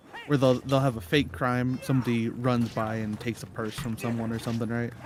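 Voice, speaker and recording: A man's medium-pitched voice at a fairly quick pace, fairly even in intonation, with noticeable background noise. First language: not English. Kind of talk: casual chat.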